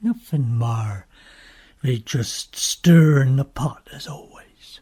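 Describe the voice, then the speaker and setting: Someone delivers a put-on character voice at a very slow pace. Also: woman, very deep, low pitch for a woman. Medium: audio drama. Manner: laconic.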